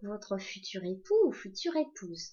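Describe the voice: A woman of medium pitch speaks at a fairly slow pace, her slightly mellow tone carried by lively intonation.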